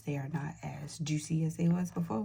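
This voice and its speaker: A woman speaks with a very deep, low pitch. Her intonation is fairly even and her pace fairly slow. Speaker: budgeting vlogger. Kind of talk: casual vlog tutorial. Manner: soft-spoken; hesitant, many fillers. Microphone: may be too quiet.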